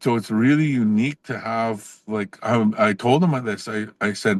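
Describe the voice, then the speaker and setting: The sound is dry and close, with no echo. A man speaks with a Canadian accent. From northern Saskatchewan, Canada (Cree First Nation). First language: Cree. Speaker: professor. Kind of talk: podcast interview. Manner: casual, with frequent fillers and restarts.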